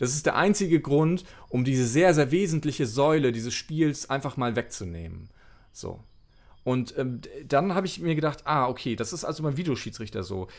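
With lively intonation, a man speaks at a moderate pace in a fairly high voice. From northern Germany, Mecklenburg. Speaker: former sports journalist and author. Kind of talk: casual interview. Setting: remote call. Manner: hesitant, many fillers.

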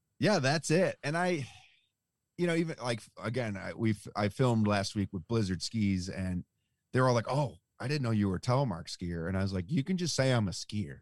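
A man with an American accent speaks at a fairly quick pace and a medium pitch, his voice making very wide pitch swings. The recording is very clean and dry, close with no echo, over a silent background. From Buffalo, New York. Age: 30s. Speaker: telemark skier and outdoor enthusiast. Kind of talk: casual chat. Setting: in his van.

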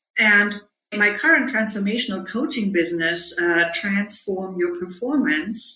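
Audible room echo colors a woman's medium-pitched voice, which shows ordinary pitch variation. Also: fairly slow pace. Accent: German. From Germany. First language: German. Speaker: leadership coach. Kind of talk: interview.

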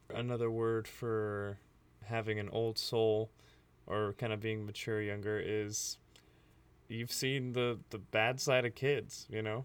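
The speaker has an American accent and talks at a fairly slow pace with long, frequent pauses. The recording is very clean, with a silent background. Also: man, medium pitch for a man. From US, with childhood in Libya. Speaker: podcast co-host. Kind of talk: casual chat. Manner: animated.

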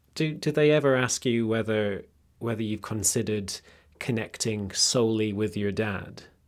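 Speaking in a British accent, a man has a medium pitch and ordinary pitch variation. He keeps a moderate pace on a very clean recording with a silent background. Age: 20s. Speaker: podcast producer and interviewer. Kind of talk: interview and narration.

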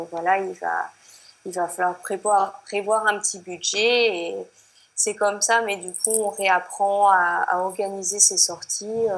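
A woman speaks in a French accent at a very slow pace. Her medium-pitched voice has monotone, flat intonation. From France. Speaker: expatriate. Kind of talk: interview. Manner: hesitant, many fillers.

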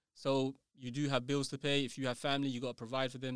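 With a London accent, a man speaks at a moderate pace. His intonation is monotone and flat. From London, England. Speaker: writer and educator. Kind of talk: casual interview. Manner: halting, repeats words.

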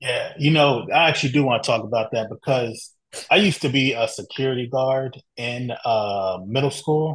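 Against a quiet background, a man of medium pitch speaks at a moderate pace with a somewhat breathy voice and ordinary pitch variation. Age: 30s. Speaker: podcast host. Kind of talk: interview.

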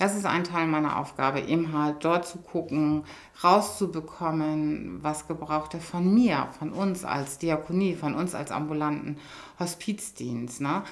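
Ordinary pitch variation at a fairly slow pace. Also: woman, very deep, low pitch for a woman. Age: 50s. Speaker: hospice coordinator and nurse. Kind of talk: interview.

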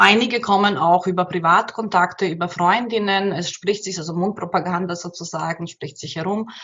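A woman with fairly even intonation, hardly any pauses and big swings in loudness. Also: medium pitch for a woman, moderate pace. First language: Bosnian/Croatian/Serbian (speaking German). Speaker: migrant women's counsellor. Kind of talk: interview. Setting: at her workplace. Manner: halting, many repetitions.

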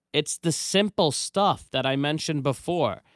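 With an ordinary speaking voice, a man speaks at a fairly slow pace and fairly high pitch with lively intonation, the sound dry and close with no echo on a very clean recording with a silent background. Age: 30s. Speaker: business owner and podcast host. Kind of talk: casual chat.

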